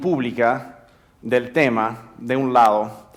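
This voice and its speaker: A man is speaking. He has an American accent. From United States. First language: English (speaking Spanish). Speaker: drug policy expert. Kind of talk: conference talk. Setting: theater stage with audience. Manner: halting, repeats words.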